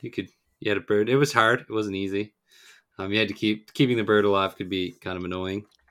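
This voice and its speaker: Recorded very cleanly with a silent background, a man with a fairly low voice talks at a very fast pace. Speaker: podcast host. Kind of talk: casual podcast chat.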